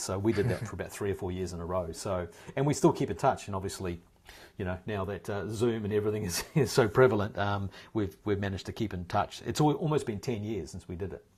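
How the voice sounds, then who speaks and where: With a New Zealand accent, a man speaks very fast in a fairly low, somewhat breathy voice with ordinary pitch variation, in a very clean recording with a silent background. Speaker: actor. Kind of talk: interview answer. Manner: casual, conversational.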